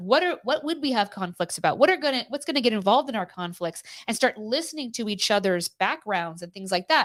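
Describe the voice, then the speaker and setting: Loud and fairly high-pitched, a woman talks at a fairly quick pace with very wide pitch swings in a dry, close sound with no echo. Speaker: co-host of a live morning show. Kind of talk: casual live-stream chat.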